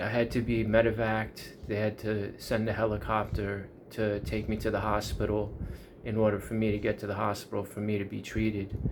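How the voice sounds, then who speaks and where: Audible room echo surrounds a man speaking in a New York accent. His pitch is fairly low and his pace fairly quick. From US, Long Island, New York. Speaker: YouTuber. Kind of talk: casual monologue.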